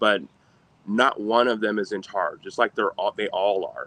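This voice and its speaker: At a fairly slow pace, a man with an American accent talks in an unremarkable speaking voice at a medium pitch, in a dry, close sound with no echo. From Sacramento, California. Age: 30s. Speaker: former parking enforcement officer. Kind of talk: interview answer.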